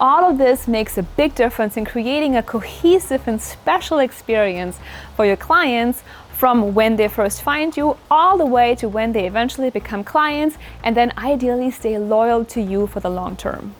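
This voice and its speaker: A woman with a German accent speaks in a fairly high voice with lively intonation. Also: moderate pace. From Germany. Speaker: business coach. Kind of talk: tutorial.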